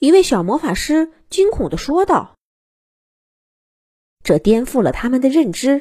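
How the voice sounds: A woman speaks at a high pitch with big pitch swings and a fairly slow pace. Her tone is dark and mellow with a slightly husky edge.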